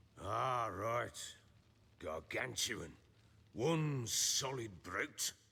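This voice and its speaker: A raspy, put-on character voice speaks at a very slow pace with lively intonation. Long pauses come often. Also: man, medium pitch for a man. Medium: video game. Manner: coarse, gruff, blunt.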